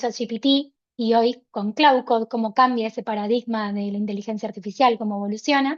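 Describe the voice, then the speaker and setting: A woman's fairly quick speech is heard against a quiet background. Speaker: workshop presenter. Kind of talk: online workshop presentation. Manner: fast.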